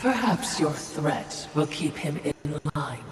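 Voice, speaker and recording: A put-on character voice at a middle pitch moves at a fairly slow pace, with clear background noise and clear echo. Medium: machinima. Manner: dry, snide.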